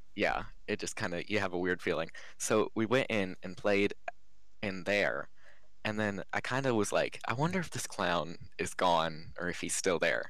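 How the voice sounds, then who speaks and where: This man has a fairly low voice and ordinary pitch variation, speaking in an American accent. Room echo is audible. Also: moderate pace. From Giles County, Virginia. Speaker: podcast guest telling scary stories. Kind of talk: casual storytelling.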